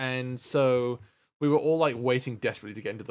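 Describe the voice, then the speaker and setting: In a very clean recording with a silent background, a man talks at a fairly quick pace in a medium pitch with a British accent. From England. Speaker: streamer. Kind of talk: casual chat. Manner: halting.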